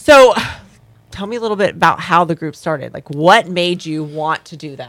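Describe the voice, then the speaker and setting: At a moderate pace and fairly low pitch, a woman speaks with lively intonation and big swings in loudness, recorded very cleanly against a silent background. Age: 40s. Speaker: radio host and life coach. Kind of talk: casual interview. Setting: radio studio. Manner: animated.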